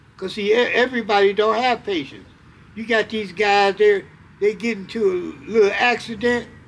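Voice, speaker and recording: The voice has fairly even intonation over noticeable background noise. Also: man, high pitch for a man, moderate pace. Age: 70s. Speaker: elder sharing life advice. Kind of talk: casual interview conversation. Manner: halting, repeats words.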